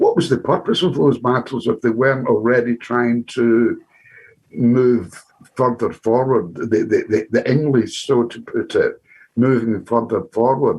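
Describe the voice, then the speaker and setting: A man speaks at a medium pitch with a Glaswegian accent. His pace is fairly slow. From Scotland, Glasgow. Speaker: audience member asking a question. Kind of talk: Q&A contribution at an online talk. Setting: video call. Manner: halting, repetitive.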